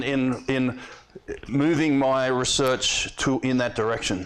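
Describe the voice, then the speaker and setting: In a room with audible echo, a man speaks in a fairly high pitch with an Australian accent. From eastern Australia. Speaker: professor. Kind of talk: lecture. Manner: fast; halting.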